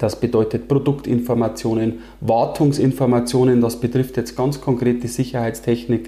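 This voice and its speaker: This man's voice has a dark, mellow tone and is somewhat breathy. He keeps a moderate pace and fairly even intonation. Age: 30s. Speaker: engineering firm owner. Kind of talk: interview.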